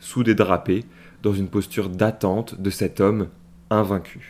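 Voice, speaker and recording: A man speaks in an ordinary speaking voice with fairly low pitch and fairly even intonation, at a fairly slow pace. The recording is very clean, with a silent background. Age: 20s. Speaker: podcast host. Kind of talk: solo podcast monologue.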